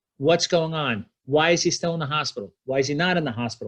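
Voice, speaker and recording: Against a quiet background, a man with an American accent uses an unremarkable speaking voice, fairly high in pitch, with ordinary pitch variation. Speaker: spine surgeon. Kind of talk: lecture. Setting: video call.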